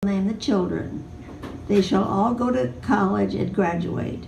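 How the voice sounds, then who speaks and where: Over noticeable background noise, a woman with an American accent talks at a fairly slow pace and medium pitch, with ordinary pitch variation. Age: 80s+. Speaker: storyteller. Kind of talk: live personal storytelling.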